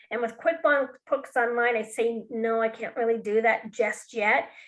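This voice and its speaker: Against a quiet background, a woman with a fairly high pitch speaks in an unremarkable speaking voice. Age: 60s. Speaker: bookkeeping and QuickBooks trainer. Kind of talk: webinar presentation.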